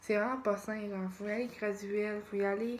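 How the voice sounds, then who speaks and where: A woman is speaking at a medium pitch. Her intonation stays monotone and flat. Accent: Quebec. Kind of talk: casual vlog talk to camera. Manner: hesitant, searching for words.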